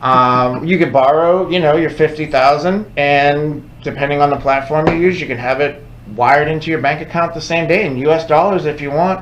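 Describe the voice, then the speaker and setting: A man with a fairly high pitch speaks at a moderate pace with hardly any pauses and fairly even intonation, against noticeable background noise and audible room echo. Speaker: crypto podcast co-host. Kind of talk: casual educational chat. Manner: conversational, interrupts often.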